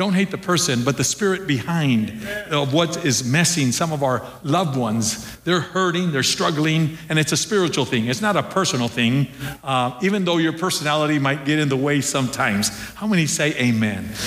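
Over noticeable background noise, a man with a fairly high pitch talks at a moderate pace, his intonation lively and his loudness very even. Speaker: pastor. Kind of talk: sermon. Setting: church. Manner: halting, with many filler words.

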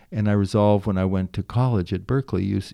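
In a very clean recording with a silent background and a dry, close sound with no echo, a man with an American accent talks very fast in a very deep, low voice with a dark, mellow tone and fairly even intonation. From US West Coast, Marin County near San Francisco. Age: 60s. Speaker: meditation teacher and nonprofit head. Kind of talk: interview conversation.

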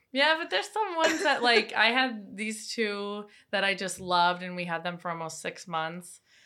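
Bright and sharp in tone, a woman speaks with an American accent at a moderate pace. Her pitch swings very widely. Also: medium pitch for a woman. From Wisconsin, US Midwest. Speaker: podcast guest sharing therapy experiences. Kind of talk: casual chat.

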